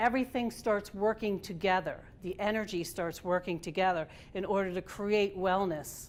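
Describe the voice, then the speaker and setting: A woman talks with fairly even intonation, her pitch medium and her pace moderate. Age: 60s. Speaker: tai chi instructor. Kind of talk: presentation. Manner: halting.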